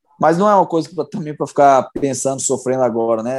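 A man's unremarkable speaking voice, fairly high in pitch and at a fairly quick pace, with a dry, close sound and no echo. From Brazil, Belo Horizonte (Minas Gerais). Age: 30s. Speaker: professional footballer. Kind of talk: interview, casual chat.

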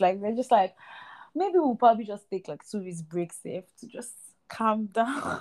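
Speaking in a Nigerian accent, a woman has a dark, mellow tone at a medium pitch. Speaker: podcast host. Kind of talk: casual chat. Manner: casual, chatty.

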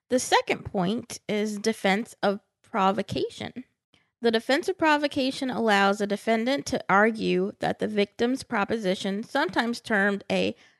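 A woman with a plain, everyday voice, fairly high pitch and ordinary pitch variation at a moderate pace, over a quiet background with a dry, close sound with no echo. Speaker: podcast host. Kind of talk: casual banter and game segment.

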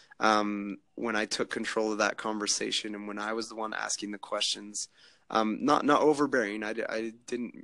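A man's fairly low voice, bright and sharp in tone, with monotone, flat intonation. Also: moderate pace. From Utah, US. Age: 30s. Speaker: former student turned web developer. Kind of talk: interview. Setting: video call.

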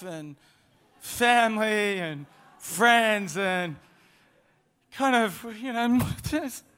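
The man's voice is raised and projected, pitched high. It has a bright, sharp tone. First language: English (speaking French). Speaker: preacher. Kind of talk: sermon. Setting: church. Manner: interpreted sermon, pausing for French translation.

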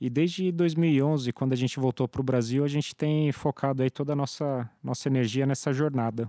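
A man's medium-pitched, dark, mellow voice at a fairly quick pace, with hardly any pauses, very even loudness and fairly even intonation, in a dry, close sound with no echo and a very clean recording with a silent background. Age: 30s. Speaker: startup founder. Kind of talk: interview.

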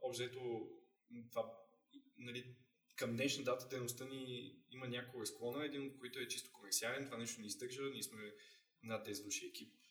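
A man's monotone, flat delivery at a moderate pace, with long, frequent pauses. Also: medium pitch for a man. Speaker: history publisher. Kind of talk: casual chat.

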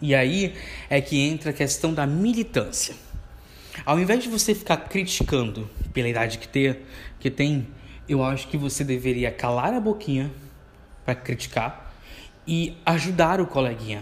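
Somewhat breathy, a man speaks at a moderate pace with a fairly high pitch and lively intonation. He leaves long, frequent pauses. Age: 20s. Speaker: podcast host, university student. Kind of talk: solo podcast monologue. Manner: casual, conversational.

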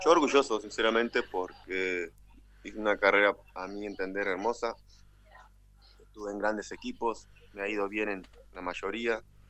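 Long, frequent pauses break up a man's moderate pace, his fairly low voice holding fairly even intonation. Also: big swings in loudness. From Uruguay, Artigas (Brazilian border). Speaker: retired footballer. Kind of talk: casual interview.

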